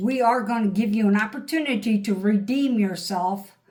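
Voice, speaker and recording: A woman with a fairly high pitch and ordinary pitch variation speaks amid audible room echo. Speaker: tarot reader. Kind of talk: tarot reading. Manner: animated.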